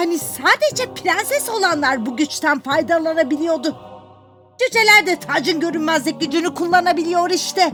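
A cartoonish, female-sounding character voice at an extremely high pitch moves at a moderate pace over clear background music. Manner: haughty, commanding.

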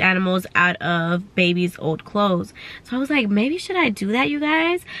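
Speaking at a moderate pace with an American accent, a woman has a medium pitch and a bright, sharp tone. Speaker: vlogger. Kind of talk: casual vlog monologue.

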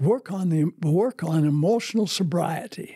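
A man's fairly high voice with a dark, mellow tone and a slightly husky edge, fairly slow pace and ordinary pitch variation, on a very clean recording with a silent background.

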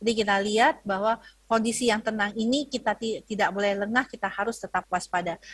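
Speaking at a fairly quick pace, a woman with a fairly high, somewhat breathy voice keeps very even loudness and fairly even intonation, her sound dry with no echo against a quiet background. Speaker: health ministry spokesperson; presenter. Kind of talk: lecture. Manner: hesitant, many fillers. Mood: earnest, cautionary. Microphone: video call.

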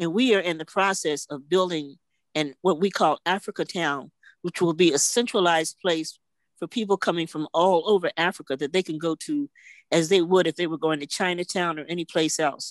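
A plain, everyday voice with ordinary pitch variation comes through with a dry sound, no echo, and a quiet background. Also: woman, fairly low pitch for a woman, fairly quick pace. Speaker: veteran journalist; presenter. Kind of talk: tribute speech. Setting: video call. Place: home room. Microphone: video call.

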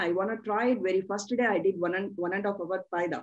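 In an Indian accent, a woman talks with ordinary pitch variation against a quiet background. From South India. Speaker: channel host and practitioner; interviewer. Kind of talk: interview. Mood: animated, eager. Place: home room. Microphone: video call.

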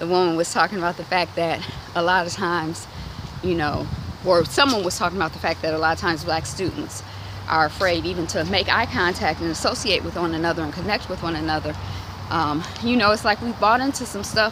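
Speaking very fast, a woman uses a fairly low pitch with ordinary variation. The sound is dry with no echo, though noticeable background noise is present. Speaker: vlogger. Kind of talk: casual walk-and-talk conversation. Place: street. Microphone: phone near.

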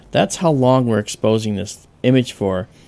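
Pitch variation here is ordinary. A man is speaking. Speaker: amateur astronomer host. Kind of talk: tutorial.

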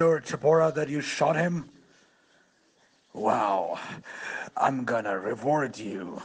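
A raspy, put-on character voice speaks at a fairly slow pace with long, frequent pauses. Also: man, medium pitch for a man. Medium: audio drama. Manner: gloating, laughing.

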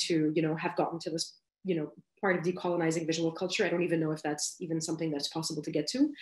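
A woman's fairly low-pitched voice, with audible room echo against a quiet background. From Lebanon. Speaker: graphic designer. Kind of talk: lecture. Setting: video call. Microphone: video call.

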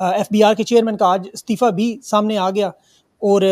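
A man speaks with a high pitch and fairly even intonation. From Pakistan. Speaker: journalist and talk show host; show host. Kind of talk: news monologue; interview. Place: studio. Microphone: studio mic.

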